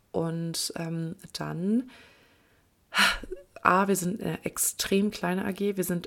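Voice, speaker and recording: Fairly even in intonation and fairly low in pitch, a woman's voice is heard on a very clean recording with a silent background. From Germany, Kleve (Lower Rhine). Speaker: podcast host, trainee lawyer. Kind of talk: solo monologue podcast. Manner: casual, with filler sounds and laughs.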